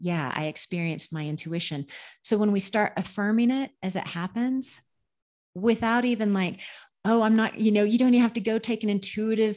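A woman with an ordinary speaking voice and an American accent speaks at a moderate pace with ordinary pitch variation against a quiet background. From Oklahoma, US Great Plains. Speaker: medium and spiritual healer. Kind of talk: interview. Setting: video call.

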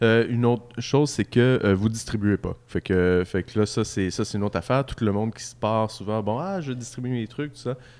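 At a fairly quick pace with hardly any pauses, the voice in a Quebec accent shows big swings in loudness and ordinary pitch variation. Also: man, medium pitch for a man. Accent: Québécois French. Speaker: beer podcast host. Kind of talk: casual chat. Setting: microbrewery pub.

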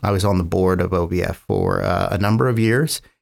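With an American accent, this is an unremarkable speaking voice delivered at a moderate pace. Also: man. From US West Coast, San Francisco Bay Area. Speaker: biotech company founder and scientist. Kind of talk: interview.

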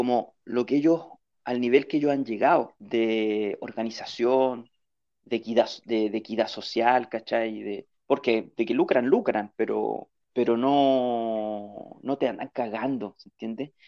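Speaking very slowly with a Chilean accent, a man uses a medium pitch, fairly even intonation and a dark, mellow tone. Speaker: podcast guest. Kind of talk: casual chat.

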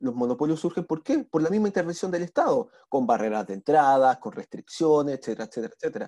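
With very wide pitch swings, a man speaks at a very fast pace with hardly any pauses, his fairly high voice dark and mellow in tone, recorded dry and close with no echo over a quiet background. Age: 20s. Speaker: lawyer and economics-of-law graduate. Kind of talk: casual chat.

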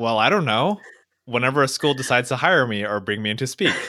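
With a Californian accent, the bright, sharp voice is heard in a very clean recording with a silent background. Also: man. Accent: Californian American English. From Orange County, California. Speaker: motivational speaker. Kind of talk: interview conversation.

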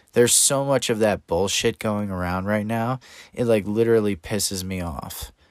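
A man with an unremarkable speaking voice talks at a fairly low pitch and a moderate pace with ordinary pitch variation. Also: dry, close sound with no echo. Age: 30s. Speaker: podcast host. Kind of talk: casual solo monologue.

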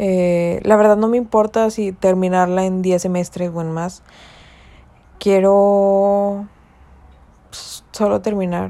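Very slow and marked by long, frequent pauses, a woman's dark, mellow voice stays monotone and flat. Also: medium pitch for a woman. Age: 20s. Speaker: university student. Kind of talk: personal monologue.

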